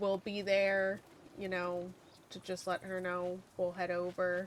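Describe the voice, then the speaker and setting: Here is a woman's voice. She is soft-spoken. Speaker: gaming streamer. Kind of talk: casual chat. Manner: halting.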